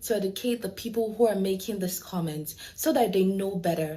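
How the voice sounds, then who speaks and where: Noticeable background noise sits behind a woman with an African accent. Her pitch varies in an ordinary way. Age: 20s. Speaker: lawyer. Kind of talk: prepared speech in a video.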